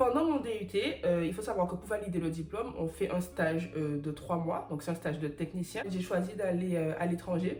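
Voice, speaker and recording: Noticeable background noise accompanies a woman speaking at a moderate pace in a fairly low pitch with ordinary pitch variation. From Guadeloupe / Martinique, French Caribbean. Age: 20s. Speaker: chemical engineer. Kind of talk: casual talk to camera.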